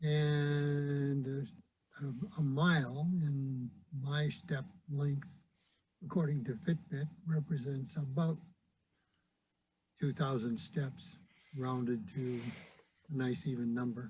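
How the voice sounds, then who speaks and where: Somewhat breathy, a man talks at a very slow pace with long, frequent pauses. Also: fairly high pitch for a man, ordinary pitch variation. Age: 70s. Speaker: Rotarian. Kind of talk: recorded invitation talk. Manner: hesitant, many fillers.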